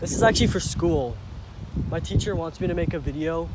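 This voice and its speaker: In a dry sound with no echo, a man keeps a moderate pace despite loud background noise. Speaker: amateur vlogger. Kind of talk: casual vlog chat. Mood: joking, playful. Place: street. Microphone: phone near.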